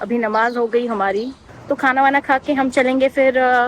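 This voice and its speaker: Noticeable background noise sits under a woman speaking at a high pitch. She talks at a fairly slow pace with ordinary pitch variation. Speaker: travel vlogger. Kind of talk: casual vlog narration.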